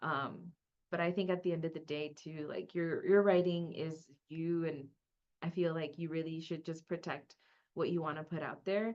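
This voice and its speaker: With a Spanish accent, a woman with fairly low pitch speaks at a moderate pace in a monotone, flat intonation. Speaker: academic librarian. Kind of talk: webinar panel discussion.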